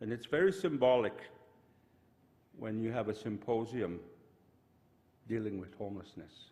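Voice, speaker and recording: At a moderate pace, a man talks with a medium pitch, a dark, mellow tone and lively intonation, broken by long, frequent pauses. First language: Cree. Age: 70s. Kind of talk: opening blessing speech.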